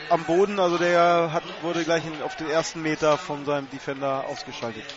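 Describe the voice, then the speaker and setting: Over noticeable background noise and audible room echo, the speaker keeps a moderate pace and fairly even intonation. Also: man. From northern Germany. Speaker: radio color commentator. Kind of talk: live sports commentary. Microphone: crackling/noisy line.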